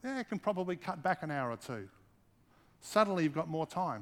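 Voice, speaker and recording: This man has an Australian accent and a high pitch for a man, speaking at a fairly quick pace with lively intonation. The recording is very clean, with a silent background. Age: 40s. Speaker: pastor. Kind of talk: sermon.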